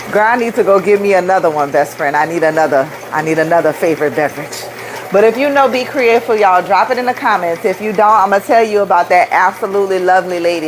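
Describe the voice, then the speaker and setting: At a very fast pace, a woman with a New Orleans accent talks at medium pitch with lively intonation and an animated tone. Noticeable background noise is present. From New Orleans, US South. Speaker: rhinestone craft business owner, livestreamer. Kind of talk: live stream chat and craft demo. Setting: live video stream. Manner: animated, chatty.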